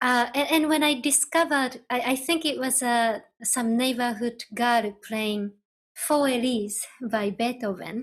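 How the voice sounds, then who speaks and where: With a Japanese accent, a woman speaks in a high voice at a fairly slow pace. The recording is very clean, with a silent background. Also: ordinary pitch variation. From Japan, Nagano. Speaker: ambient electronic musician. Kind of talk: interview. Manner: halting.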